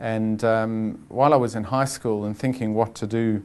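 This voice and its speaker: The man's intonation is monotone and flat, with a medium pitch. He keeps a moderate pace against a quiet background. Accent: South African. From South Africa. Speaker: chief financial officer. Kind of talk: interview. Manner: calm, measured; halting, many fillers.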